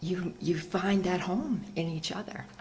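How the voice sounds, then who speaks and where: Audible room echo surrounds this woman's voice. She speaks fairly low for a woman, at a very slow pace. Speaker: ceremony leader. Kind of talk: welcome address at community celebration. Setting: meditation hall with audience, PA system. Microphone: too quiet at first, mic turned up.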